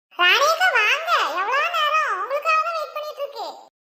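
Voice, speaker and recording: A cartoonish character voice, squeaky and full of very wide pitch swings. Sound effects play in the background. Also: woman, extremely high pitch for a woman, moderate pace. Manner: chatty, laughing.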